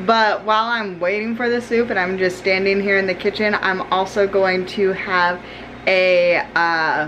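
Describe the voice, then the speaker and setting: Light background noise accompanies a woman speaking at a fairly slow pace. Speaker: vlogger. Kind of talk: casual vlog chat. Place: kitchen. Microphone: phone near.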